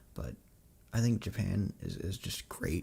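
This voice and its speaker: This man has a fairly low, dark and mellow voice with vocal fry. His pitch swings very widely. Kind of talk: casual ASMR livestream talk while showing cards. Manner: whispered, soft-spoken.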